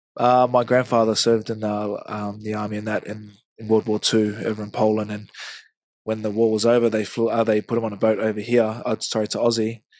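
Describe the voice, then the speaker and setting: A man with a New Zealand accent, fairly low pitch, monotone, flat intonation, and a fairly quick pace. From New Zealand, Hamilton. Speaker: rugby league player. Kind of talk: casual interview.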